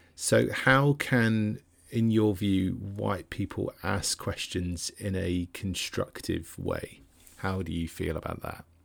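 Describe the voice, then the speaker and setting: Very deep and low in pitch, a man speaks at a very slow pace in a very clean recording with a silent background. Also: ordinary pitch variation. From Devon, England. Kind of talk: casual interview.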